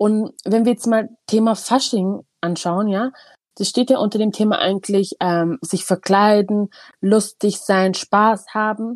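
A woman with a fairly high voice speaks very slowly and with fairly even intonation, in a dry, close sound with no echo. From Eritrea, moved to Germany at eight. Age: 30s. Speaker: kindergarten manager. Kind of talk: casual chat.

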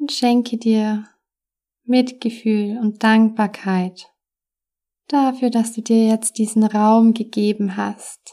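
A woman speaks very slowly in a fairly high pitch, with long, frequent pauses and flat, monotone intonation. Her tone is dark and mellow, soothing and calm. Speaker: meditation coach and podcast host. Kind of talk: guided meditation. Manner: slow, soft, soothing, calm with long pauses; warm, gentle, caring.

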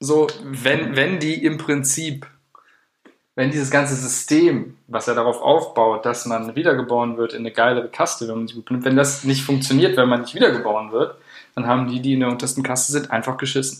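This man talks at a fairly quick pace, at a medium pitch, with fairly even intonation. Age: 20s. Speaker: podcast co-host, student. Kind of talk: casual chat. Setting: studio.

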